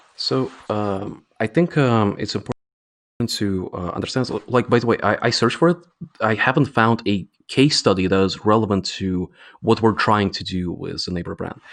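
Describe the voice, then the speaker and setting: A man with a non-native accent, fairly low in pitch, at a moderate pace with ordinary pitch variation. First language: not English. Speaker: games company CEO. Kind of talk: interview. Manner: hesitant, many fillers.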